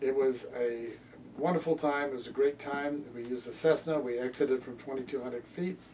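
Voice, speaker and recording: Against noticeable background noise, a man talks at a fairly quick pace. His medium-pitched voice keeps fairly even intonation. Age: 80s+. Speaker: veteran skydiver. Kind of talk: personal storytelling interview. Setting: reunion event.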